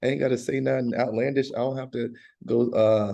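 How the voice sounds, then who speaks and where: Speaking fairly quickly with fairly even intonation, a man with an American accent has a dark, mellow tone and vocal fry. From US South, North Carolina (Bahama, near Durham). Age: middle-aged. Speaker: country and rock singer. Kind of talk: casual interview.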